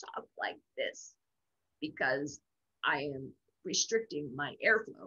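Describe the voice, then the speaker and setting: A strained, put-on character voice at a middle pitch. It moves at a fairly slow pace with long, frequent pauses. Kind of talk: instructional, teaching. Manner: demonstrating bad technique on purpose.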